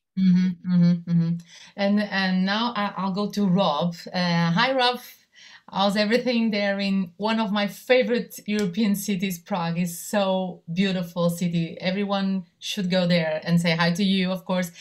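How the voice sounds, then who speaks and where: A somewhat breathy voice at a moderate pace with fairly even intonation. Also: woman, medium pitch for a woman. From Portugal. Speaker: television journalist, moderator. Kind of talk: panel discussion.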